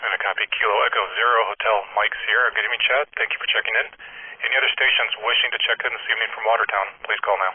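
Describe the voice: The speech comes at a very fast pace, with a slightly husky edge and fairly even intonation. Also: man, fairly low pitch for a man.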